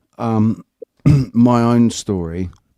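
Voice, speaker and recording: Dark and mellow in tone, the voice has a British accent and ordinary pitch variation, heard in a very clean recording with a silent background. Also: man. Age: 40s. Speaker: livestream host. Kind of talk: casual chat. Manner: halting.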